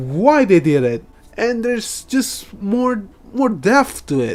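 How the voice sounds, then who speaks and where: A man speaks very slowly in a high voice. His pitch swings very widely. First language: Indonesian. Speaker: anime reaction youtuber. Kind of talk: reaction commentary. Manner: halting, stuttering.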